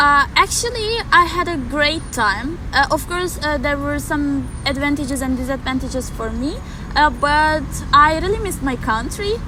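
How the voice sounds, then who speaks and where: With a Turkish accent, a woman projects a raised, high voice with lively intonation, heard with audible room echo and noticeable background noise. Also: moderate pace. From Turkey. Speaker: exchange student. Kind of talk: interview. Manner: halting.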